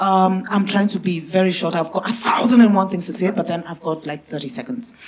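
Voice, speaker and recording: Over noticeable background noise, a woman talks in an animated tone at a fairly quick pace, with medium pitch, ordinary pitch variation and big swings in loudness. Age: 60s. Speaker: audience member. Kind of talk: audience question.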